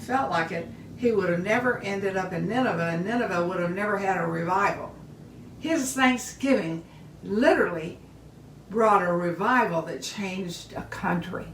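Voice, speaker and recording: Moderate-paced speech from a woman at medium pitch, noticeable background noise and audible room echo around it. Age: 80s+. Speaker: bible teacher. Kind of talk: casual sermon on a live video. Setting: social media live video. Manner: animated.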